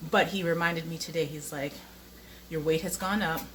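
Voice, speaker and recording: A woman's fairly low voice, bright and sharp in tone, with audible room echo. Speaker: vlogger. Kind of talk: casual vlog monologue. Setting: at home, handheld camera while cooking. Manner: hesitant, many fillers.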